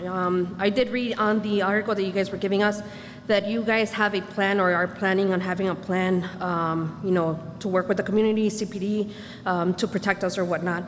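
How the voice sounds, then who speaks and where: Fairly even intonation carries through noticeable background noise. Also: woman. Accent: American. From Chicago. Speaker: resident speaking at community meeting. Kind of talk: public comment at community meeting. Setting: community meeting.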